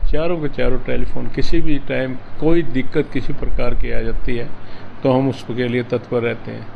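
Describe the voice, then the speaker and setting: Noticeable background noise sits behind a man speaking at a moderate pace and medium pitch. His intonation is fairly even, with big swings in loudness. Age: 70s. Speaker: former state legislator, politician. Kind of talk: interview.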